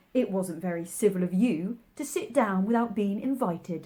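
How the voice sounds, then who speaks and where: A woman does a put-on character voice at a medium pitch and a moderate pace. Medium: read story. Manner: contrary, pedantic.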